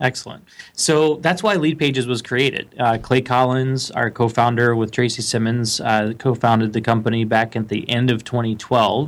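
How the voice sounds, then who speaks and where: A man at medium pitch speaks in a plain, everyday voice at a moderate pace. His intonation is fairly even, with hardly any pauses. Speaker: lead generation expert. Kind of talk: interview.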